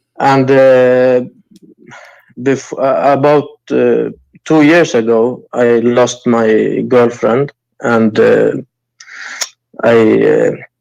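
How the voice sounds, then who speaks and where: A man speaks at a very slow pace with long, frequent pauses and very even loudness. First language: not English. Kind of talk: call-in conversation. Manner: halting, many hesitations.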